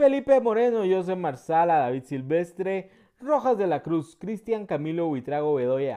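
A man's high, dark and mellow voice at a fairly slow pace with very wide pitch swings, over a quiet background. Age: 30s. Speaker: gaming youtuber. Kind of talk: gameplay commentary.

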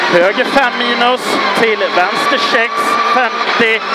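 The speech comes at a very slow pace, with loud background noise and a dry sound with no echo. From Sweden. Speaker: rally co-driver. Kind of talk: rally pace notes read aloud to the driver. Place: car. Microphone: headset.

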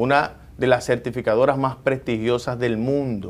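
A man is speaking. His pace is moderate. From Dominican Republic. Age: 40s. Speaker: government agency director and politician; politician. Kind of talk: TV interview. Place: office. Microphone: lapel.

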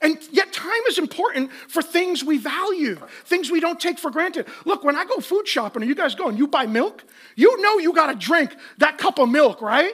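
Lively intonation and a fairly bright tone mark a man's extremely high-pitched voice, delivered with few pauses. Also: moderate pace.

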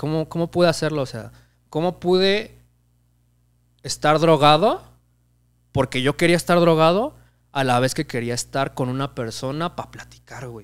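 A man speaks at a moderate pace in a fairly high pitch with ordinary pitch variation. His loudness swings widely, and he takes long, frequent pauses. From Mexico. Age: 20s. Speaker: comedy channel audio producer and actor; actor. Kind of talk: casual interview chat. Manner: casual, slangy. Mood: relaxed, sometimes reflective. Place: home room. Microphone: studio mic.

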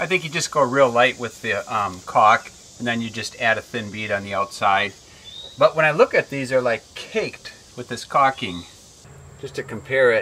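Over light background noise, a man speaks at a moderate pace with ordinary pitch variation and big swings in loudness. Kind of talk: casual DIY tutorial chat. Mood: relaxed, slightly self-deprecating. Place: open country.

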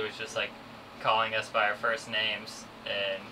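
Noticeable background noise sits behind a man's fairly low voice. He talks at a fairly quick pace with monotone, flat intonation. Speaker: sailing vlogger. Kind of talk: casual vlog chat. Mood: cheerful, amused. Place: boat.

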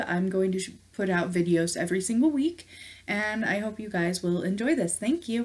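A woman speaks at a moderate pace, somewhat breathy, with ordinary pitch variation. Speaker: gaming streamer. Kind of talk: casual vlog chat. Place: home room.

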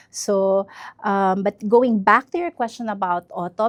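A woman's medium-pitched voice at a very slow pace, with ordinary pitch variation, dry close sound free of echo, and a quiet background. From northern Mindanao, Iligan City. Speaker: entrepreneur. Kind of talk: interview.

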